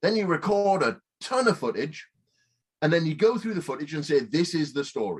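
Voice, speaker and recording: A man's high-pitched voice at a fairly quick pace. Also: lively intonation. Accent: Northern English. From Northern England. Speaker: film director, producer and writer. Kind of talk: interview answer.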